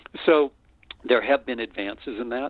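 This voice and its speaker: A man speaks with an American accent. He keeps a moderate pace. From US Upper Midwest, North Dakota. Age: 60s. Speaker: retired professor. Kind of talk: interview. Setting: radio show. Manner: halting.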